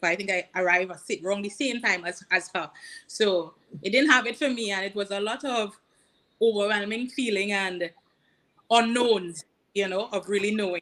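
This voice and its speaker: With a bright, sharp tone at medium pitch, a woman speaks at a moderate pace with ordinary pitch variation and long, frequent pauses. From Trinidad and Tobago. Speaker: career coach. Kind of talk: casual interview. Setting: livestream.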